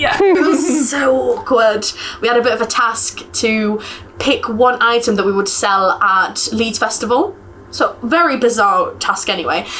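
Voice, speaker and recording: Noticeable background noise runs under this recording. A woman with a fairly high pitch speaks at a fairly slow pace. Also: lively intonation, very even loudness. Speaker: university student. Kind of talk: casual interview.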